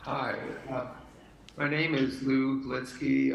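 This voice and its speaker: With noticeable background noise and audible room echo, a man talks at a medium pitch in a flat, monotone delivery. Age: 80s+. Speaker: public commenter at city council meeting. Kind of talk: public comment. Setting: teleconference.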